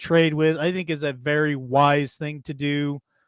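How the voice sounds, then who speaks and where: This man has a fairly high pitch and an Idaho accent. He talks at a fairly slow pace. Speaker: talk show host. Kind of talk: political talk show. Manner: hesitant, filler-heavy.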